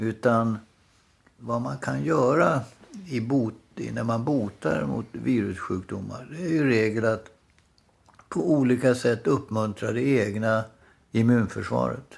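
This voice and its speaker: Lively in intonation, a man at medium pitch speaks at a very slow pace with long, frequent pauses. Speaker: podcast co-host. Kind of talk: casual chat. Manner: halting.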